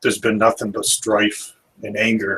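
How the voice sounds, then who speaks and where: A man puts on a raspy character voice at a medium pitch. He talks at a moderate pace. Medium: actual play.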